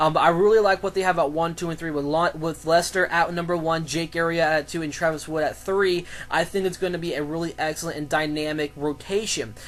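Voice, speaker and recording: A man with a high pitch rushes along at a very fast pace with hardly any pauses over noticeable background noise. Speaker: sports commentator vlogger. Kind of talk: solo sports commentary vlog. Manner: halting, many fillers and restarts.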